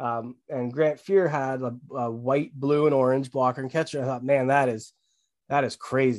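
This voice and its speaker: A man with a Canadian accent and an ordinary speaking voice talks at medium pitch and a moderate pace. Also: fairly even intonation. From Ontario, Canada. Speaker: sneaker and hat brand owner. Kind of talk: casual chat.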